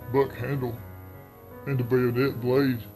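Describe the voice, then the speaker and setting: Over music in the background, a man with a Southern US accent talks at a fairly slow pace, his medium-pitched voice keeping a fairly even intonation. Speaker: horror story narrator. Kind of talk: horror story narration.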